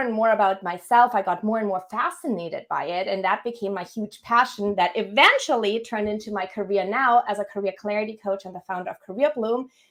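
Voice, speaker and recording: With a German accent, a woman talks at a fairly quick pace, barely pausing. Her voice sits fairly high, and her loudness rises and falls sharply. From Germany. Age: 30s. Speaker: career coach. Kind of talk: podcast interview.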